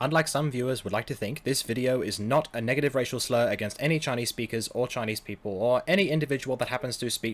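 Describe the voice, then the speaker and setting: Speaking at a very fast pace, a man with an Australian accent has a medium pitch and ordinary pitch variation. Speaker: YouTuber learning Chinese. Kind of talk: casual talk to camera.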